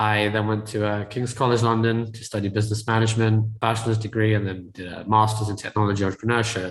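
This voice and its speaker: Somewhat breathy, a man talks very fast at a medium pitch. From UK. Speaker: tech entrepreneur and real estate investor. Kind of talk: podcast interview.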